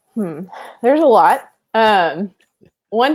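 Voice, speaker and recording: The background is silent on this very clean recording. A woman is the one talking. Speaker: elementary school teacher. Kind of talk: casual interview. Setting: Facebook live stream. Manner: monotone and chill.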